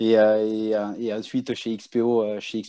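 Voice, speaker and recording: A man's voice of medium pitch with a dark, mellow tone. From Toulouse, France. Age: 30s. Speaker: business banker. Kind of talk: casual interview. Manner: halting, repeats words.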